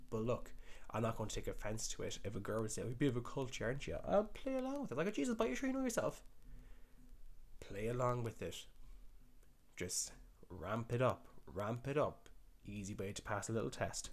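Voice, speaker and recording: Animated in tone, a man talks at a fairly quick pace but leaves long, frequent pauses. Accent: rural Irish. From rural Ireland. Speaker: dating commentator. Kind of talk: video reaction commentary.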